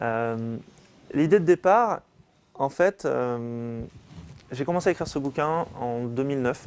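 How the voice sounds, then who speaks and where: The speaker is a man with a medium-pitched voice. Its pitch variation is ordinary. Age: 30s. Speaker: business owner and author. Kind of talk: talk to an audience.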